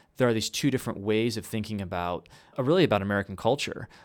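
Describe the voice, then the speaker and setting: A man's medium-pitched voice at a very fast pace. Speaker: podcast co-host and college teacher. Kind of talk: casual discussion.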